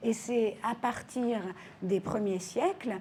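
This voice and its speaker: A woman talks at a very slow pace in a somewhat breathy voice with a dark, mellow tone. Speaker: historian. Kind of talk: interview answer. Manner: soft-spoken.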